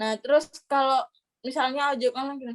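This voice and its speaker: A woman speaks with a high pitch and fairly even intonation. The sound is dry and close, with no echo. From East Java, Indonesia (Gresik/Surabaya). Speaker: scholarship graduate. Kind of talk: casual interview chat.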